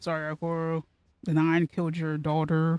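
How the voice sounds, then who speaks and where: The tone is dark and mellow, at a fairly slow pace. The sound is dry and close, with no echo. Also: woman. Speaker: video game streamer. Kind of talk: casual gameplay commentary.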